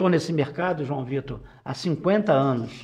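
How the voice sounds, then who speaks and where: A man talks with lively intonation, keeping a fairly slow pace. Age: 70s. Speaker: business executive. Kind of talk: casual interview talk. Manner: halting, repeats words.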